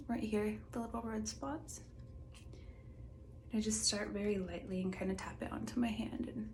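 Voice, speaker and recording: Soft-spoken and relaxed in tone, a woman talks at a moderate pace with long, frequent pauses over noticeable background noise. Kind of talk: soft-spoken ASMR makeup get-ready-with-me talk to camera. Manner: soft-spoken, relaxed, casual.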